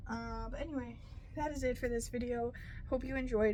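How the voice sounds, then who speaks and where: Audible room echo follows a woman as she speaks at a fairly quick pace. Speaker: crafting YouTuber. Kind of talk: casual craft explanation to camera. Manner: hesitant, many fillers.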